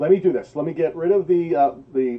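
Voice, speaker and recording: Here a man is speaking. He keeps a fairly quick pace. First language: not English. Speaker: channel review show host. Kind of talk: live channel review show.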